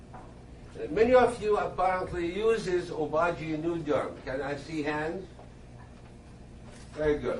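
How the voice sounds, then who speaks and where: A high-pitched man speaks with ordinary pitch variation and long, frequent pauses, amid audible room echo and noticeable background noise. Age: 60s. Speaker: dermatologist. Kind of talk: lecture.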